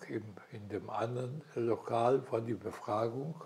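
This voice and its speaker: This is a man speaking. His pitch is medium. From Silesia. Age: 80s+. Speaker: war veteran, retired headteacher. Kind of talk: interview answer. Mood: calm, reflective storytelling. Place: home room. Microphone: lapel.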